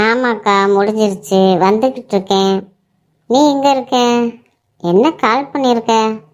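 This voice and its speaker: Using a cartoonish character voice, a woman talks at a fairly high pitch and fairly slow pace with very even loudness. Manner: respectful, slightly nervous.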